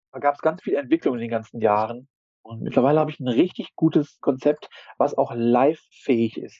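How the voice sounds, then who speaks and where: A man's medium-pitched, plain, everyday voice moves at a fairly quick pace with ordinary pitch variation. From Ruhr area, Germany. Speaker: street photographer and intensive care worker. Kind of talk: casual chat.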